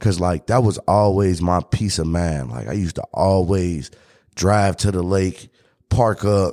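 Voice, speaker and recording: A man's very deep, low pitch and dark, mellow tone, ordinary pitch variation, a fairly slow pace, and a very clean recording with a silent background. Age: 30s. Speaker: podcast host. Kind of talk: casual chat.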